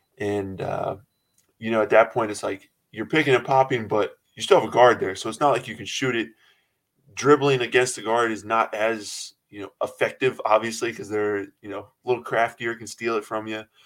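A man's medium-pitched, plain, everyday voice at a moderate pace, fairly even intonation with big swings in loudness, on a very clean recording with a silent background. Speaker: college basketball player. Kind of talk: casual interview. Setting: podcast interview.

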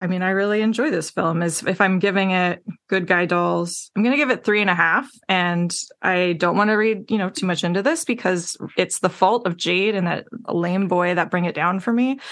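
Against a quiet background, a woman speaks in an ordinary speaking voice. Her pitch is medium with ordinary variation, and her pace is moderate. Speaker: guest on podcast. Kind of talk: casual chat.

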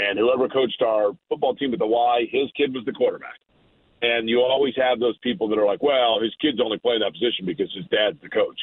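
Talking at a fairly quick pace, a man uses a normal speaking voice at medium pitch with ordinary pitch variation. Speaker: morning radio host and race broadcaster. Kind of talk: casual sports talk.

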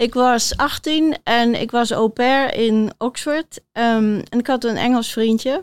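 A woman's high-pitched voice at a very slow pace, with fairly even intonation, very even loudness and hardly any pauses, in a dry, close sound with no echo on a very clean recording with a silent background. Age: 60s. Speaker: author and body coach. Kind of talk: interview before live audience. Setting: theater stage with audience.

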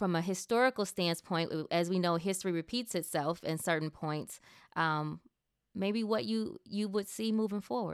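A woman with a normal speaking voice, fairly low in pitch, talks at a moderate pace with lively intonation. The recording is very clean with a silent background, and the sound is dry and close with no echo. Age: 30s. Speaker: podcast host, communications executive. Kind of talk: interview. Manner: fillers and repeats.

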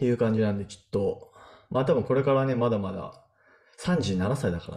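A man, an unremarkable speaking voice, talks at a moderate pace and medium pitch with lively intonation and big swings in loudness. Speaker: software engineer podcast co-host. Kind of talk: casual chat.

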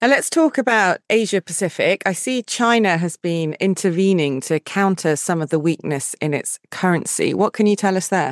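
A woman with a medium pitch speaks at a moderate pace in an ordinary speaking voice, with lively intonation and hardly any pauses. The sound is dry and close with no echo, over a quiet background. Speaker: podcast host. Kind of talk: scripted interview.

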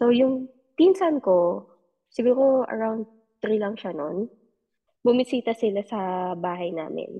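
A woman's fairly high, plain, everyday voice, fairly slow in pace, with lively intonation. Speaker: podcast listener sharing paranormal experiences. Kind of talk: casual storytelling. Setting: online call.

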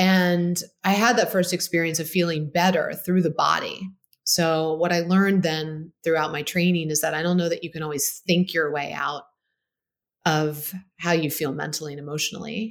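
A woman with an American accent has an ordinary speaking voice, fairly low in pitch, with fairly even intonation at a moderate pace. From Baltimore, Maryland, US. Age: 40s. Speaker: physician and health company founder. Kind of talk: interview conversation.

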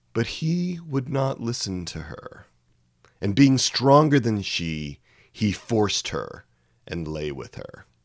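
At a very slow pace, a man speaks with a medium pitch that makes very wide swings. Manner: solemn, measured, grave.

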